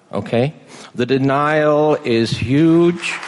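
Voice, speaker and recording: This is a man speaking. His intonation is lively. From England. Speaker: family physician. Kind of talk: speech. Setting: stage with audience. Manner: halting.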